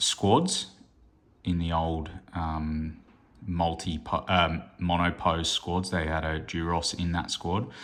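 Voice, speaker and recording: In an Australian accent, a man speaks very slowly with a very deep, low pitch and monotone, flat intonation. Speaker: hobby gaming youtuber. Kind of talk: unboxing review. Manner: hesitant, many fillers; casual.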